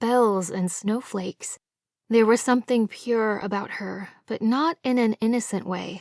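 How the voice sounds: A natural reading voice is heard with a quiet background.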